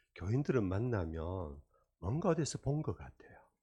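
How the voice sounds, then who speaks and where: A man's somewhat breathy voice, dark and mellow in tone, with very wide pitch swings at a fairly slow pace against a quiet background. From Korea, Daegu. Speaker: retired senior pastor, guest preacher. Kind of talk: sermon. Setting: church revival meeting.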